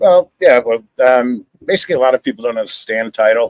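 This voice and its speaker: A man talks at a fairly quick pace with a New York accent. The sound is dry and close, with no echo. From New York City. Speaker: title insurance agent. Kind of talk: live show interview. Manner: talks with his hands, animated.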